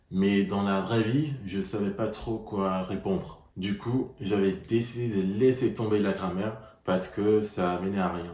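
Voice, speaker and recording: At a very slow pace with hardly any pauses, a man speaks in a fairly low pitch with a dark, mellow tone and fairly even intonation, in audible room echo. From Netherlands. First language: Dutch (speaking French). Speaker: language learner vlogger. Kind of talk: personal vlog monologue.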